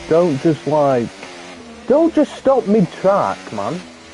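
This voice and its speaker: Noticeable background noise surrounds a man who talks at a very slow pace. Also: long, frequent pauses. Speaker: gaming streamer. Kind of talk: live gameplay commentary. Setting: livestream. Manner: casual, animated.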